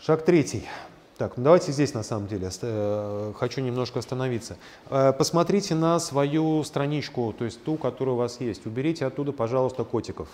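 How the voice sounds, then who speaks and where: A man of medium pitch with a plain, everyday voice talks at a fairly quick pace with lively intonation. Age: 50s. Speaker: lecturer and existential psychologist, coach. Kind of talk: lecture with small audience Q&A. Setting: lecture room with small live audience and online chat.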